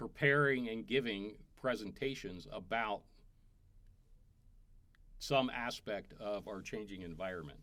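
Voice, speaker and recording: A man talks at a medium pitch with ordinary pitch variation. His pace is fairly slow. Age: 60s. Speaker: climate specialist. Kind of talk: interview answer.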